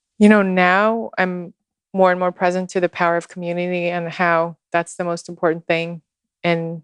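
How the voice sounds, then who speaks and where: A woman speaks at a fairly low pitch in a monotone, flat intonation. The sound is dry and close with no echo, and the background is quiet. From Russia, Moscow. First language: Russian. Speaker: social media guide and ceremonialist. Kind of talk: casual interview chat. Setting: in person in Texas.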